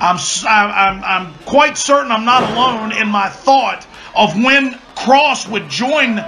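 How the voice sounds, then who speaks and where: Over music in the background, a man raises and projects his high voice, speaking at a very slow pace with ordinary pitch variation. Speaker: wrestling commentator. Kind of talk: play-by-play wrestling commentary.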